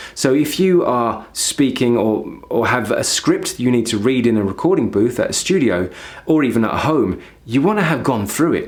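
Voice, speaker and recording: Audible room echo colors this man's voice. He speaks at a moderate pace and medium pitch with lively intonation. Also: very even loudness. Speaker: voice acting coach. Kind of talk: tutorial. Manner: repeats words, slightly halting.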